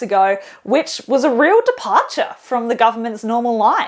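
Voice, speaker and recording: Upbeat in tone, a woman talks in a high pitch with an Australian accent. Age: 20s. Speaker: political journalist and stand-up comedian. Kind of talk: comedic political explainer to camera. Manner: casual, upbeat, jokey.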